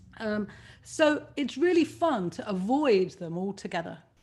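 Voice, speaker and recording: A woman speaks at a fairly slow pace in a somewhat breathy voice of medium pitch. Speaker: author. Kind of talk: talk. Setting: video call. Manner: animated.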